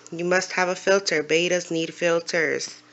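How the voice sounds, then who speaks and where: A woman mumbles in a fairly low pitch. Her intonation is monotone and flat. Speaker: aquarium hobbyist youtuber. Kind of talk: casual tutorial. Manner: halting, hesitant; mumbling.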